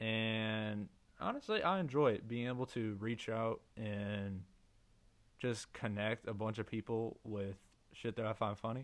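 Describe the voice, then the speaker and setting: A man's medium-pitched voice at a fairly slow pace, broken by long, frequent pauses. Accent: American. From Missouri, USA. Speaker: podcaster and meme account creator. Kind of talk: solo casual monologue.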